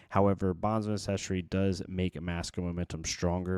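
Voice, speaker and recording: A soft-spoken man's very deep, low voice, monotone and flat at a moderate pace, on a very clean recording with a silent background. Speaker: card game content creator. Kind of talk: deck profile tutorial. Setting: home recording at night. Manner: soft-spoken, quiet.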